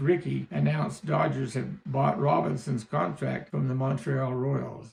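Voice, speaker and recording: With a western US accent, a man talks at a moderate pace and a medium pitch, his pitch swinging very widely. Noticeable background noise sits behind him. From Utah. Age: 70s. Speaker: storyteller. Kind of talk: reading aloud.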